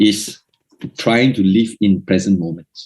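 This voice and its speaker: A man's dark, mellow tone at a very slow pace. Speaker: Buddhist Dhamma speaker. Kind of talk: Dhamma talk.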